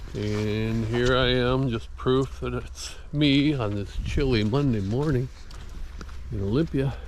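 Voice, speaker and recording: Audible room echo follows a man as he talks at a very slow pace. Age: 70s. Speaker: vlogger. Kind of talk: casual vlog monologue. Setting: outdoors on a walk. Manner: conversational.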